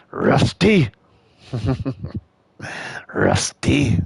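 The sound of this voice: A man's raspy put-on character voice at medium pitch, with a dry, close sound with no echo.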